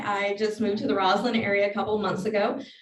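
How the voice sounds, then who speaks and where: Audible room echo surrounds a woman with an American accent who speaks at a moderate pace with a fairly high pitch. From Southside Virginia. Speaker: political candidate. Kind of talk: campaign speech.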